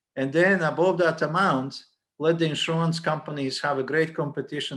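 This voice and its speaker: A man with a non-native accent speaking at a fairly quick pace with fairly even intonation, over a quiet background. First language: not English. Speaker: college dean. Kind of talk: panel discussion. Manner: halting, many repeated words.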